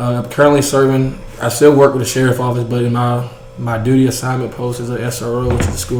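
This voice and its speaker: In a Southern US accent, a man talks very fast in a monotone, flat delivery, with audible room echo and noticeable background noise. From US South, rural Georgia. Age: 20s. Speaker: school resource officer. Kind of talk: interview.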